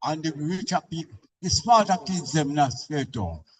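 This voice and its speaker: A man at a moderate pace with a Jamaican accent. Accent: Jamaican Patois. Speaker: resident. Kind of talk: public meeting comment.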